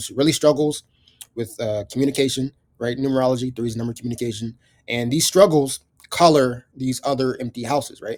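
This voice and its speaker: A man at medium pitch talks at a fairly quick pace with fairly even intonation. His loudness swings widely. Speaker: astrology teacher. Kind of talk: live astrology reading. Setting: video recording with client present. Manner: fast; hesitant, many fillers.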